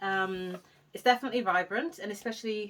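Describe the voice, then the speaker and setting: Speaking at a fairly quick pace, a woman with a London accent uses a fairly high pitch and ordinary pitch variation. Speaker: hair vlogger. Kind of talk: casual vlog talk. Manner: fast.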